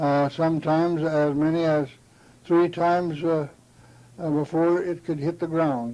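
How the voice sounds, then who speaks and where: In a very clean recording with a silent background, a man with a dark, mellow tone and a fairly high pitch speaks at a fairly slow pace in a flat monotone. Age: old. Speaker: author reading his memoir. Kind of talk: reading aloud. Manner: halting.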